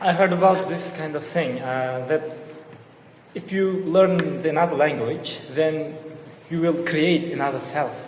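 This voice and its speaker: With an Uzbek accent, a man speaks at a fairly slow pace and fairly high pitch with fairly even intonation, amid noticeable background noise and audible room echo. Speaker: podcast co-host. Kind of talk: casual chat.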